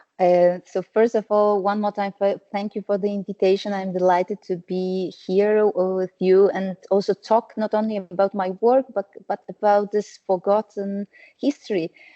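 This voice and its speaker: A woman speaks at a moderate pace and medium pitch, her intonation monotone and flat. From Poland. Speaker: historian and writer. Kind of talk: panel discussion. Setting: video call. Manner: halting.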